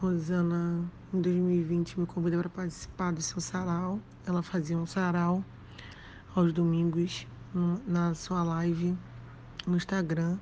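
A woman's fairly low, monotone voice at a very slow pace, broken by long, frequent pauses. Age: 30s. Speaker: writer and social worker. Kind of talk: interview.

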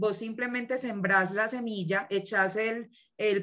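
A woman with a Colombian accent speaks at a very slow pace. Her pitch is fairly high, with ordinary variation. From southern Colombia. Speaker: teacher and agroecology researcher. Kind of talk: casual interview chat.

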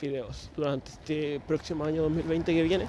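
With a Chilean accent, a man speaks in a fairly high pitch over noticeable background noise. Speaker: podcaster. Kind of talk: casual monologue. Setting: outdoors, walking at night. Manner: rambling, hesitant.

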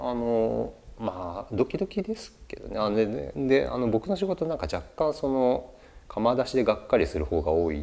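Big swings in loudness from a man at a moderate pace. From Japan, Chiba Prefecture. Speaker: potter. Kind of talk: casual interview chat. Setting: artist's studio.

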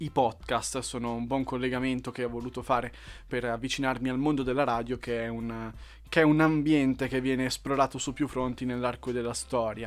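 The speech moves at a fairly quick pace in a monotone, flat intonation, on a very clean recording with a silent background. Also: man, medium pitch for a man. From Lombardy, northern Italy. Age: 20s. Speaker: novelist and podcaster. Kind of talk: casual monologue. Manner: hesitant, frequent fillers.

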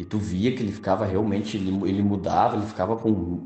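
A man with a fairly low pitch talks at a moderate pace. Music plays behind him, and room echo is audible. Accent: southern Brazilian. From Rio Grande do Sul, Brazil. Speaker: night security guard, listener. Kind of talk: recorded personal testimony.

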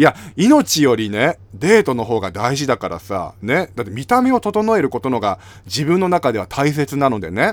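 In a very clean recording with a silent background, a man with a medium pitch talks at a moderate pace in an animated tone, his pitch swinging very widely. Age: 30s. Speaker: podcast host and YouTuber. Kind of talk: casual solo talk.

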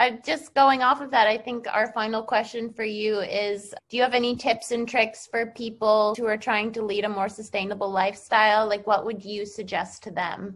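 A woman with an American accent has an unremarkable speaking voice, fairly high pitch, fairly even intonation and a moderate pace with hardly any pauses. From United States. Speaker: podcast host. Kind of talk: interview.

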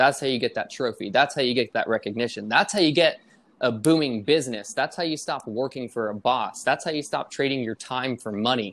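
A man talks in a plain, everyday voice at a fairly quick pace, with medium pitch and ordinary pitch variation. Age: 20s. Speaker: podcast co-host. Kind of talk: casual chat. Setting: remote online call.

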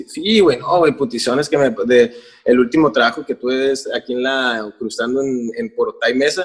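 A man speaks at a moderate pace in a normal speaking voice. His pitch is medium, with ordinary variation. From Mexico, Tijuana. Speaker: musician. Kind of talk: casual chat.

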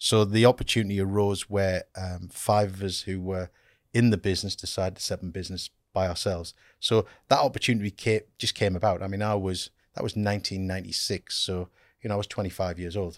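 In a very clean recording with a silent background and a dry, close sound with no echo, a man speaks very fast at a fairly low pitch in a monotone, flat intonation. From Norfolk then northeast England, partly Abu Dhabi. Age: 50s. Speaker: company managing director. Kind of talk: interview conversation.

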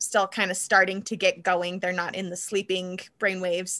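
Here is a woman with an American accent and a bright, sharp tone. She talks at a moderate pace in a very clean recording with a silent background. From southern Nevada, US. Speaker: author. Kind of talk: casual interview chat. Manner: vocal tics: sudden screams, gasps, high-pitched noises.

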